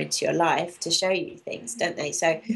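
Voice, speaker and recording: A woman with a London accent speaks at a fairly quick pace. There is noticeable background noise. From London, England. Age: 40s. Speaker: raw food author and coach. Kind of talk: interview.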